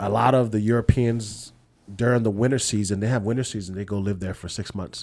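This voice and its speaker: A man's fairly low-pitched, a normal speaking voice, with fairly even intonation at a fairly quick pace. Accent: American. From California, Lao American. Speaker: podcast host. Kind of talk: casual chat.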